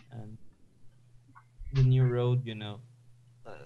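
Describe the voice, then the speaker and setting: A man speaks at a fairly slow pace in a somewhat breathy, monotone voice with flat intonation, and the room echo is audible. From Sweden. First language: Swedish. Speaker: gaming co-commentator. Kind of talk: casual chat. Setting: live stream.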